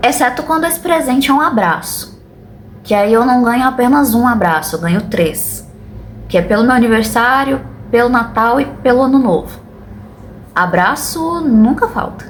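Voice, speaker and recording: Against noticeable background noise and audible room echo, a woman with a high pitch and lively intonation speaks at a moderate pace in very even loudness, with long, frequent pauses. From Brazil, Goiânia (Goiás). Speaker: booktuber. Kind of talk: casual vlog monologue.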